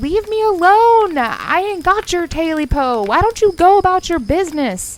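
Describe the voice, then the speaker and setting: In a put-on character voice, a woman speaks at an extremely high, shaky pitch with very wide pitch swings. Her pace is moderate and she takes hardly any pauses. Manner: scared, shaky.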